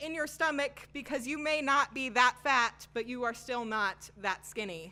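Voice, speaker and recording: Over music in the background, a woman uses a raised, projected voice at a moderate pace with ordinary pitch variation. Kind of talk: spoken word poetry performance. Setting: live open mic.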